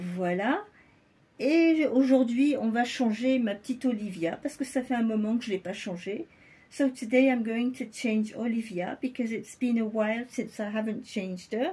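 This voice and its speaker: Her voice fairly high in pitch and dark, mellow in tone, a woman speaks at a fairly slow pace. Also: ordinary pitch variation. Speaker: doll collector vlogger. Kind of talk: casual show-and-tell vlog. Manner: quieter than usual; alternates French and English.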